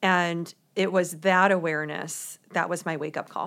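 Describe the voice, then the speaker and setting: In a very clean recording with a silent background, a woman with an American accent uses an ordinary speaking voice, fairly low in pitch, at a moderate pace. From US Midwest, St. Louis, Missouri. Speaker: authenticity coach and author. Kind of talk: casual interview.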